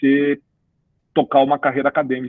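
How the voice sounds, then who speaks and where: A fairly quick pace, with a southern Brazilian accent. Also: man. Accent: gaúcho. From Rio Grande do Sul, Brazil (Cruz Alta). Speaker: business executive and career mentor. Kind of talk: podcast interview. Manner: animated, conversational with many fillers.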